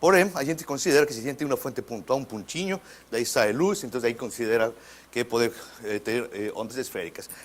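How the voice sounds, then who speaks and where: Fairly quick male voice in a Spanish accent. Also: medium pitch for a man, lively intonation. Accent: Spanish-accented Portuguese (portunhol). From Mexico. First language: Spanish (speaking Portuguese). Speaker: physics professor. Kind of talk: lecture. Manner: halting, with repetitions.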